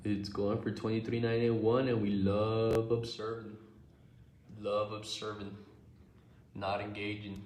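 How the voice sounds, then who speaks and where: A man with an American accent and fairly low pitch, flat monotone delivery at a fairly slow pace, long frequent pauses, audible room echo and noticeable background noise. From Texas. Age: 20s. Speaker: livestreamer and day trader. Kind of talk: casual live stream chat. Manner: casual, slangy.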